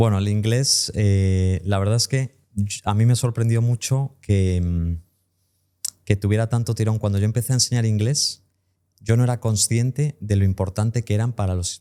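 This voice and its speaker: Speaking at a fairly low pitch, a man has an unremarkable speaking voice with fairly even intonation. His pace is moderate, and the sound is dry and close with no echo. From US (Tampa, Florida), raised bilingual. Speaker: English teacher and entrepreneur. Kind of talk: podcast interview.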